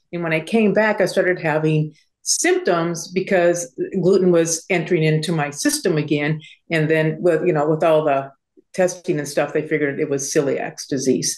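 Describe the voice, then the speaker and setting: A woman with a fairly low pitch talks at a moderate pace using fairly even intonation. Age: 60s. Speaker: prepper consultation guest. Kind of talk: interview. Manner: halting, many fillers.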